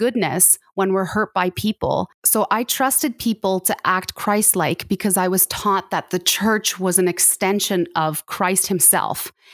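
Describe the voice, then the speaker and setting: A woman with a Canadian accent uses an ordinary speaking voice and fairly even intonation. The sound is dry and close with no echo, on a very clean recording with a silent background. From Canada. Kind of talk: interview testimony.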